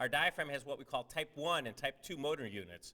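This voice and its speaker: This man talks very fast and loud, with a fairly high pitch and ordinary pitch variation. His tone is bright and sharp. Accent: American. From Cleveland, Ohio, US. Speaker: surgeon and researcher. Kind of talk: lecture.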